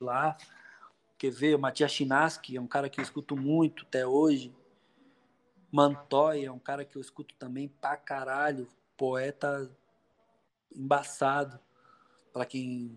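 A man speaks at a fairly high pitch and a fairly slow pace, leaving long, frequent pauses. His intonation is monotone and flat, while his loudness swings widely. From Poá, greater São Paulo, Brazil. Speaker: rapper, former hardcore musician. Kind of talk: casual chat.

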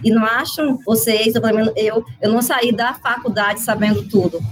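A normal speaking voice from a woman, fairly high in pitch. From Mato Grosso, Brazil. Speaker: school chemistry teacher. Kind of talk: casual chat.

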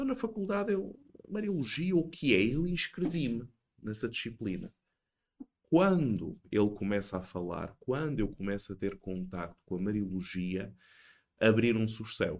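A man speaks in a European Portuguese accent at a medium pitch. His voice makes very wide pitch swings. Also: fairly slow pace. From Portugal. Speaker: theology professor. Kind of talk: casual chat.

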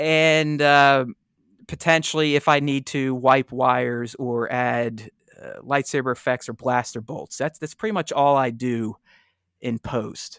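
On a very clean recording with a silent background and a dry, close sound with no echo, a man with an American accent uses a plain, everyday voice at a medium pitch, fairly even intonation and a fairly slow pace. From Pittsburgh, Pennsylvania. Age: 40s. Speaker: toy photographer and collector. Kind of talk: casual chat.

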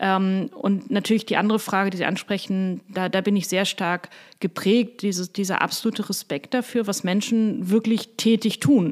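A woman speaks at a medium pitch and moderate pace with hardly any pauses. Her intonation is fairly even, and the recording is very clean with a silent background. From Hamburg, northern Germany. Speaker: university president and professor. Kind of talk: interview. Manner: hesitant, many fillers.

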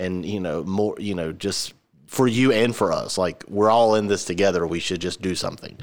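A man with an American accent and a fairly low pitch talks at a very fast pace. His intonation is fairly even, and the recording is very clean with a silent background. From Georgia, US. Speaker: podcast host. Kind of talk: casual chat. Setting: same room as co-host.

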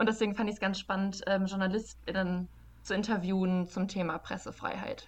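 A woman's somewhat breathy voice at a fairly quick pace, monotone and flat in intonation, with very even loudness. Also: medium pitch for a woman. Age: 20s. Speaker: journalist and fact-checker. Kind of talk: casual interview.

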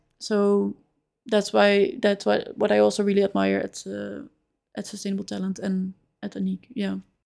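The speaker has a Dutch accent. The pace is moderate. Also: woman. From Netherlands, Amsterdam. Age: 20s. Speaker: recruiter. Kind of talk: interview.

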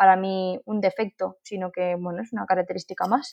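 At a moderate pace, this is a normal speaking voice. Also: woman. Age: 20s. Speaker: paralympic athlete and speaker. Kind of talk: interview.

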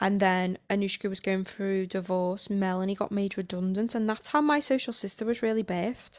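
Over a very clean recording with a silent background, a woman speaks in a normal speaking voice at a medium pitch with ordinary pitch variation. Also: fairly quick pace. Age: 30s. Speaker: podcast host and coach. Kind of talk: casual monologue.

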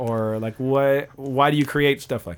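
A man with a normal speaking voice and an American accent, fairly high in pitch, with ordinary pitch variation and a moderate pace, on a very clean recording with a silent background. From Pennsylvania. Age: 30s. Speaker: podcast host and musician. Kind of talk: casual interview chat. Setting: home studio with guest on couch.

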